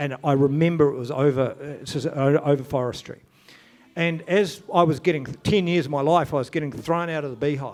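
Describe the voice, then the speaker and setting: A man's fairly high-pitched voice, fairly quick in pace and fairly even in intonation, with music in the background. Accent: New Zealand. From New Zealand. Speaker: event organiser. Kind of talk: conference talk. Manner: halting, stammering.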